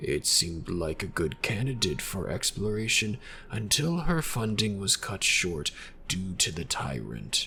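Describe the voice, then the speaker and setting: A man does a put-on character voice at a moderate pace with clear background noise. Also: fairly low pitch for a man. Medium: machinima. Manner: formal, measured, evasive.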